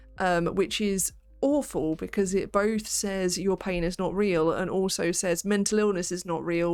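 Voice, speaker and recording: With music in the background, a woman talks fairly slowly at a medium pitch and with fairly even intonation. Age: 30s. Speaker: PhD student streamer. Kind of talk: casual study stream chat. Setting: live stream.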